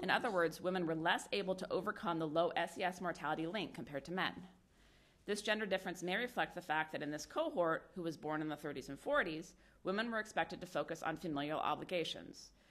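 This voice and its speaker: The speech comes very fast, in an American accent. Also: woman, fairly low pitch for a woman, ordinary pitch variation. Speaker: sociology professor and researcher. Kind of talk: conference lecture. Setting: conference hall with audience.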